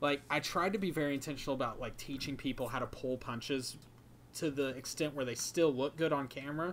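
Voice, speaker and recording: An ordinary speaking voice at a fairly quick pace, with fairly even intonation and light background noise. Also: man, fairly high pitch for a man. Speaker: YouTube video creator and podcast co-host; podcast co-host. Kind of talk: casual chat. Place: home room. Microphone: microphone plugged into laptop; earbuds.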